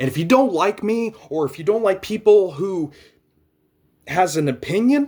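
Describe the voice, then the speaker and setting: A man with a high pitch speaks at a moderate pace, leaving long, frequent pauses. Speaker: vlogger. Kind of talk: rant. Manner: halting.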